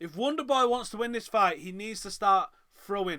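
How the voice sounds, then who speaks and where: A man's raised, projected voice, bright and sharp in tone, with lively intonation and a northern English accent, on a very clean recording with a silent background. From northern England, Manchester. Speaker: MMA watch-along host. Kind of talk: live fight reaction commentary.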